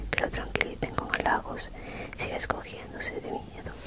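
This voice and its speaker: A woman is whispering. Her pace is moderate. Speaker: reader. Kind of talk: soft reading aloud, ASMR style. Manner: close-mic semi-inaudible whisper reading. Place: home room. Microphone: handheld.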